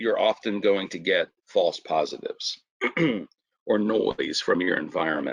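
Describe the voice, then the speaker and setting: Putting on a character voice, a man speaks raspily at a moderate pace in a dry, close sound with no echo. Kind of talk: professional, explanatory.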